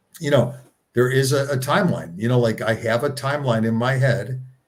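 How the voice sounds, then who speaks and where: His voice a little breathy, a man talks at a mid-range pitch. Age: 60s. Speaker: nonprofit co-founder. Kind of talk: casual interview. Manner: halting, repeats words.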